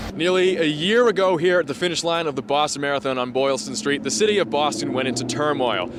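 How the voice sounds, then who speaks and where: Fairly quick speech amid noticeable background noise. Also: man. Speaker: news reporter and anchor. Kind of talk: TV news report.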